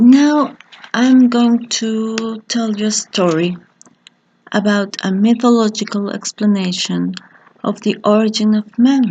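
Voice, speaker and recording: The pace is very slow, in a Spanish accent. Intonation stays fairly even. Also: woman, fairly high pitch for a woman. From Mexico. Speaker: teacher. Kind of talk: lecture.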